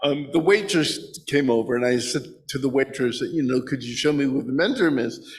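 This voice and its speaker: Speaking at a moderate pace, a man with a medium pitch talks with an American accent. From New Jersey. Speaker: blind presenter at a congregation service. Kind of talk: personal testimony and Q&A. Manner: halting, many fillers.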